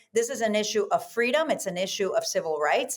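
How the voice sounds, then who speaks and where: A woman with a Spanish accent talks at a very fast pace. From South America. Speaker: Senate candidate. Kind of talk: interview.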